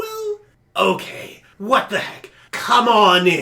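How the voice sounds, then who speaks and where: A man puts on a character voice at an extremely high pitch. He talks at a very slow pace. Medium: actual play. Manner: chatty, friendly.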